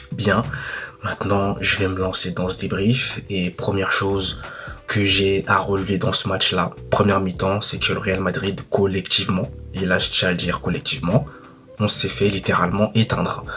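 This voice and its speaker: The speaker is soft-spoken and talks at a moderate pace with fairly even intonation. There is noticeable background noise. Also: man, fairly low pitch for a man. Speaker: football YouTuber. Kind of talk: match debrief monologue.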